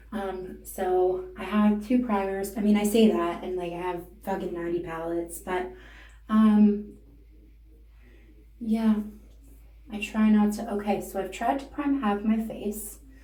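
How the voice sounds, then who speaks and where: With a Canadian accent, a woman speaks at a fairly slow pace and medium pitch, using fairly even intonation and long, frequent pauses, with audible room echo around her. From Canada. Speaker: beauty and comedy vlogger. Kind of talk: casual makeup tutorial. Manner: casual, rambling, profane.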